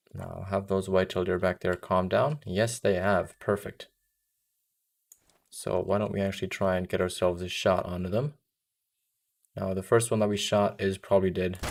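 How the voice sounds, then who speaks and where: Speaking at a moderate pace with long, frequent pauses, a man with a very deep, low pitch and an American accent keeps his intonation fairly even on a very clean recording with a silent background. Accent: somewhat American. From Germany. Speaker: game streamer. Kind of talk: live gameplay stream chat. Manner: casual, conversational.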